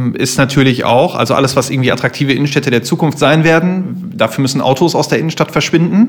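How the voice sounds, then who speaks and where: Talking very quickly, the man keeps his pitch variation ordinary. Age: 30s. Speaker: fashion retailer, business owner. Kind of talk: interview.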